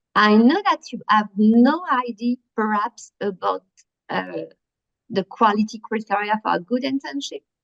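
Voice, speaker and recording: Fairly slow and lively in intonation, a woman speaks in a fairly high voice. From France. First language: French. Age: 50s. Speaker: workshop presenter. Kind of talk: workshop presentation. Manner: halting, many fillers.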